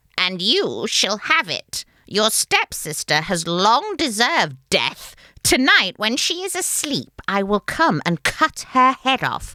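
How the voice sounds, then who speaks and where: A female-sounding, put-on character voice with a fairly high pitch. The pitch swings very widely. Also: fairly slow pace. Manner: menacing.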